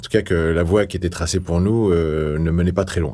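Here is a man with a very deep, low pitch and ordinary pitch variation. The recording is very clean, with a silent background. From northeastern France, Toul near Nancy. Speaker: politician and author. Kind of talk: interview testimony. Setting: in-person recording in Paris. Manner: halting with many repetitions.

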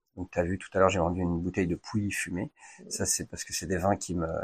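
Speaking at a very fast pace, a man with a very deep, low pitch sounds somewhat breathy, with fairly even intonation in a dry, close sound with no echo on a very clean recording with a silent background. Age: 40s. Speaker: wine shop owner, former firefighter. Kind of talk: interview.

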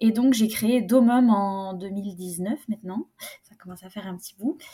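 A woman speaks at medium pitch with ordinary pitch variation and a fairly slow pace. Her tone is dark and mellow, somewhat breathy. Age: 20s. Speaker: private chef and food consultant. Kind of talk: casual interview.

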